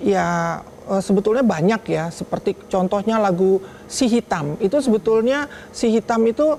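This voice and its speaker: Noticeable background noise sits under the clip. The woman talking keeps a fairly slow pace. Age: 60s. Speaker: daughter of late singer, talk show guest. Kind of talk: TV talk show interview.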